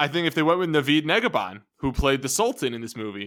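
A man with lively intonation speaks in a normal speaking voice at a fairly high pitch, recorded very cleanly against a silent background. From Armenian-American heritage. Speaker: podcast host. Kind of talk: casual chat.

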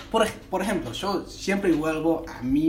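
Over noticeable background noise and audible room echo, the voice moves at a fairly slow pace with ordinary pitch variation. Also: man. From United States. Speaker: comedian and podcast co-host. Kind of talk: casual chat. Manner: halting.

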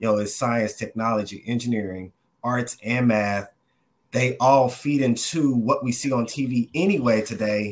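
In a plain, everyday voice, a man with an American accent talks at a moderate pace and medium pitch with ordinary pitch variation. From Dallas, Texas. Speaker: advertising professional and youth program board member.

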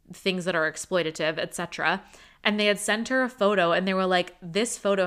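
A woman with an ordinary speaking voice talks at a fairly quick pace. Her pitch is medium, with ordinary pitch variation. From US. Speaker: podcast co-host. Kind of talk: casual chat.

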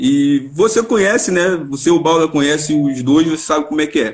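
With ordinary pitch variation, this man talks at a moderate speed. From Rio de Janeiro, Vila da Penha. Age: 30s. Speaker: amateur football player. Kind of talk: casual chat.

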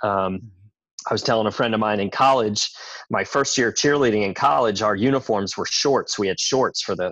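Over a quiet background, a man uses a plain, everyday voice at a fairly quick pace, with fairly low pitch and ordinary pitch variation. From New York. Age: 40s. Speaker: gym owner. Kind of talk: casual interview.

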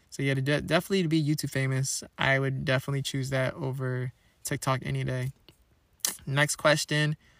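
This man's voice is fairly high in pitch and moves at a fairly quick pace. The recording is very clean with a silent background, and the sound is dry and close with no echo. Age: 20s. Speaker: solo podcast host. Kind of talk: casual chat. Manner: animated.

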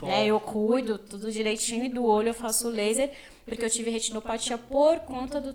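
Over noticeable background noise, a woman talks at a fairly quick pace and fairly high pitch, with ordinary pitch variation. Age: 20s. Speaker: social work student. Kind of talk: casual interview.

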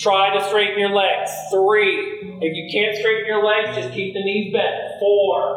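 Delivered at a very slow pace with hardly any pauses, the speech has music playing in the background. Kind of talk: guided yoga class instruction, cueing poses and breath. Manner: calm, steady, imperative cueing; paced to breath with counted beats.

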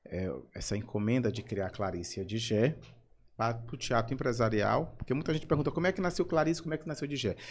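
On a very clean recording with a silent background, a man with a Maranhão accent and medium pitch talks very fast, with lively intonation and a somewhat breathy sound. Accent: Maranhão Portuguese (Brazilian northeast). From São Luís, Maranhão, Brazil. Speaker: actor and comedian. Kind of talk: casual interview chat.

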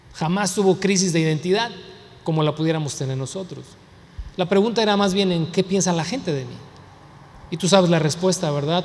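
Pausing often and at length, a man with a high pitch talks at a fairly quick pace and ordinary pitch variation, with noticeable background noise and audible room echo. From US, Mexican heritage. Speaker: pastor. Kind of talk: sermon.

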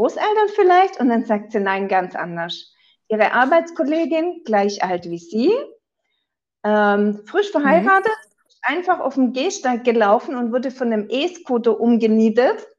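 This woman's high-pitched voice moves at a fairly slow pace and swings very widely in pitch. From southern Germany. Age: 40s. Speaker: insurance broker. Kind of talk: interview.

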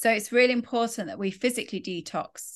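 Over a quiet background, a woman speaks with vocal fry and ordinary pitch variation. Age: 40s. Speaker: spiritual coach and yoga teacher. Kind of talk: casual monologue. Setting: recorded while travelling.

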